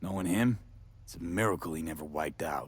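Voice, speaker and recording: A man speaks very fast in a raspy, put-on character voice. His pitch is very deep and low, with ordinary variation. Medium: video game. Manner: calm, curious.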